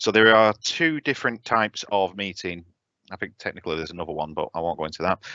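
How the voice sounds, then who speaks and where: The voice belongs to a man whose pitch varies in an ordinary way. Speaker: software trainer. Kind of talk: tutorial. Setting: live online webinar. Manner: fast.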